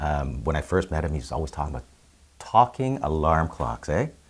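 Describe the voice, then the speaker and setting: With a Canadian accent, a man speaks at a very deep, low pitch, using vocal fry and very wide pitch swings. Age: 50s. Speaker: volunteer. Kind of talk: interview. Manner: casual, hesitant with fillers.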